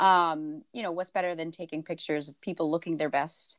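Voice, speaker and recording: A woman with a normal speaking voice and a fairly low pitch talks at a fairly quick pace, in a dry, close sound with no echo. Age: 30s. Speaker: photographer and business owner. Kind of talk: casual chat.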